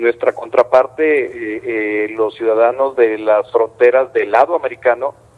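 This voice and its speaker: At a fairly slow pace, a man speaks with hardly any pauses. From northern Mexico border, Coahuila. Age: 60s. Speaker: mayor. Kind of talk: news interview.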